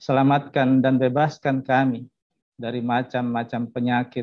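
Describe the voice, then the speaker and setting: Against a quiet background, a man speaks at a fairly slow pace with monotone, flat intonation, the sound dry with no echo. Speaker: prayer leader. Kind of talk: prayer. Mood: solemn, reverent. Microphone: video call.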